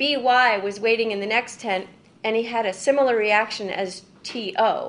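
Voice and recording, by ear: Natural-voiced reading aloud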